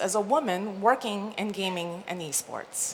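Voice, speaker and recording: Amid noticeable background noise and audible room echo, a woman is speaking. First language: not English. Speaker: conference speaker, esports marketing executive. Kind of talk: conference talk. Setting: stage with audience.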